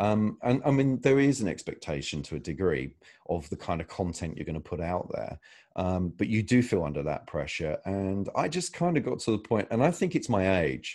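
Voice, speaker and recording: A man speaks at a moderate pace with a British accent and a fairly low pitch, his voice making very wide pitch swings. The background is quiet. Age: 30s. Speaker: mobile filmmaker. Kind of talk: interview. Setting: video call. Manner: halting, with many fillers.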